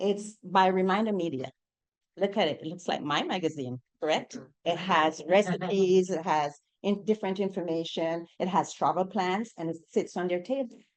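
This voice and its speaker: A woman with a Jamaican accent and ordinary pitch variation. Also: medium pitch for a woman, moderate pace. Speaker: real estate agent. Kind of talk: panel discussion.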